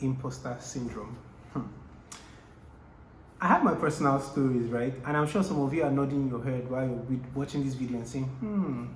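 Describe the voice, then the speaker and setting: The speech has long, frequent pauses, and noticeable background noise can be heard throughout. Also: moderate pace. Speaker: entrepreneurship coach, vlogger. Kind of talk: motivational talk to camera. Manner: hesitant, many fillers.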